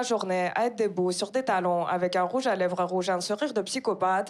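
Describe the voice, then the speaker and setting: Against noticeable background noise, a woman speaks at a fairly quick pace in a medium pitch with ordinary pitch variation. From Kazakhstan. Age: 20s. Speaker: stand-up comedian. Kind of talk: stand-up. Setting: stage with audience.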